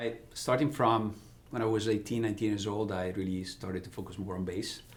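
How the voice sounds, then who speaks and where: A somewhat breathy man with an Italian accent at a fairly quick pace, with audible room echo. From Italy, Ravenna on the Adriatic coast. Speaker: business executive. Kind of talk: interview. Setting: podcast.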